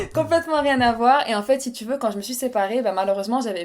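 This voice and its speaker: A woman's fairly high voice carries ordinary pitch variation. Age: 30s. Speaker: podcast guest, web agency founder. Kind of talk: casual interview chat. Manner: hesitant, many fillers.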